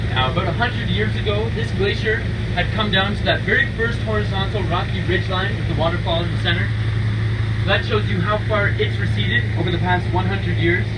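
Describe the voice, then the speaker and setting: Loud background noise under a man's fairly quick speech. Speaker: boat tour guide. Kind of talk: guided tour commentary. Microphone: pa.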